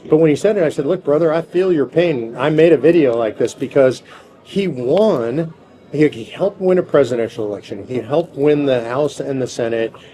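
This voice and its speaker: A man's lively intonation amid noticeable background noise. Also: fairly high pitch for a man. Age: 60s. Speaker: political activist leader. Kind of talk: interview.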